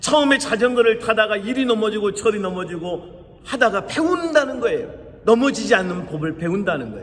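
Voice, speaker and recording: Pitched high with very wide swings, a man talks at a fairly quick pace over noticeable background noise and audible room echo. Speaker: pastor. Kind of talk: sermon.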